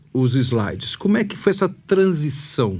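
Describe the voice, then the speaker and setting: A man speaks at a fairly slow pace with a fairly high pitch. His voice is somewhat breathy. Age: 60s. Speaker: podcast host. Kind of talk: casual interview chat.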